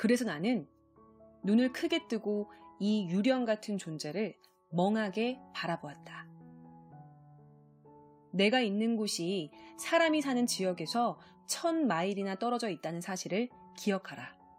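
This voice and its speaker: Music plays behind a woman whose medium-pitched voice swings very widely in pitch, her tone calm and soothing as she speaks at a fairly slow pace with long, frequent pauses. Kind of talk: audiobook reading. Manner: calm, soothing.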